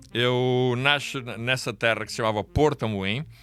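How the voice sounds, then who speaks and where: A man speaks at medium pitch in a bright, sharp tone. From Angola. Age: 60s. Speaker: pastor. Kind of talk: interview storytelling. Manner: halting.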